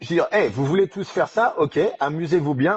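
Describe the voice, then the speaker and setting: Noticeable noise sits behind a man whose moderate pace comes with ordinary pitch variation. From France. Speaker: strength coach. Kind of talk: podcast interview. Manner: halting, many restarts.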